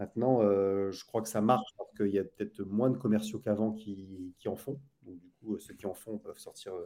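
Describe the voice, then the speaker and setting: A man's fairly low voice with a dark, mellow tone, fairly even intonation, big swings in loudness and a moderate pace. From northern France, Lille. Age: 50s. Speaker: sales trainer. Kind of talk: podcast interview. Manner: halting.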